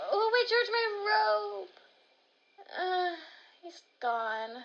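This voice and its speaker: Using a put-on character voice, a woman speaks at a very slow pace in an extremely high pitch, with very wide pitch swings. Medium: audio drama. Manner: indignant, spirited.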